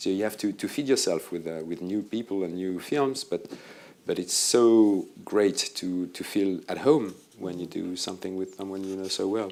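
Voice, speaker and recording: With a French accent, a man speaks in a fairly low pitch and a dark, mellow tone, with ordinary pitch variation. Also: moderate pace. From France. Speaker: film editor. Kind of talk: interview on stage. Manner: hesitant.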